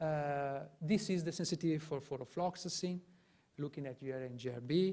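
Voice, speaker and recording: This man's voice is fairly high in pitch and shows ordinary pitch variation. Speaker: public health researcher. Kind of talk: conference presentation. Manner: fast; halting, many fillers and repetitions.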